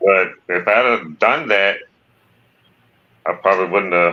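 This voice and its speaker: Very slowly and with fairly even intonation, a man with a rural Southern US accent speaks in a very deep, low voice. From Virginia. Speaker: testimony guest. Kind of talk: testimony. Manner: halting.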